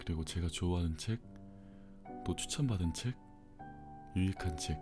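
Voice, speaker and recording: Music plays in the background as a man speaks at a very deep, low pitch with ordinary pitch variation. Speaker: audiobook narrator. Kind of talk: casual intro to listeners.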